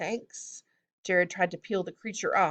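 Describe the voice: A quiet background behind plain reading aloud.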